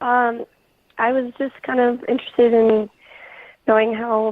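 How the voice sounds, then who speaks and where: A woman talks fairly slowly in a high voice. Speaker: caller. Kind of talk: phone call-in. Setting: phone call. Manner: hesitant.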